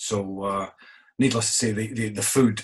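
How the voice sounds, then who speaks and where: A man with a Scottish accent and a fairly low-pitched voice. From Scotland. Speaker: innkeeper. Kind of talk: interview.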